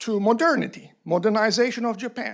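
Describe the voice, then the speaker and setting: This man speaks at a fairly slow pace. He has a Turkish accent. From Turkey. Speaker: panel speaker at academic forum. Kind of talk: panel discussion.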